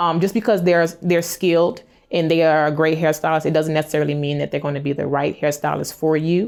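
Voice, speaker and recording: In a very clean recording with a silent background, a woman with an American accent talks at a fairly quick pace, her voice very deep and low, her intonation fairly even. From US South, New Orleans, Louisiana. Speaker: hairstylist. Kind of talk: interview answers. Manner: fast.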